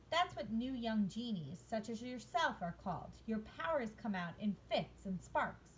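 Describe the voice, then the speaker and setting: A woman uses a put-on character voice at a fairly high pitch. She keeps a moderate pace with hardly any pauses, and clear background noise is present. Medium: read story. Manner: calm, warm, knowing.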